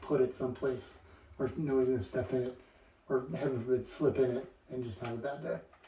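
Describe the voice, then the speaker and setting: This man rushes along at a very fast pace in a medium pitch. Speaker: hiker vlogger. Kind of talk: casual talk to camera. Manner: halting, many fillers and repeats.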